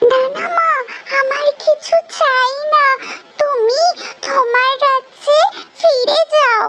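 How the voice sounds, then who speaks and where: A woman's cartoonish character voice, extremely high-pitched and very slow. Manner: soft, humble, motherly.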